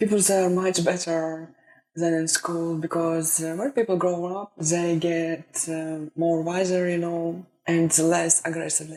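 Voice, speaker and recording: The speaker has a Russian accent and talks at a fairly slow pace. The intonation stays monotone and flat. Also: woman, fairly low pitch for a woman. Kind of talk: casual talk to camera.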